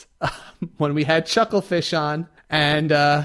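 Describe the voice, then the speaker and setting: Talking at a fairly quick pace, a man with a New York accent has a fairly high voice. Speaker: podcast co-host. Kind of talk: casual chat.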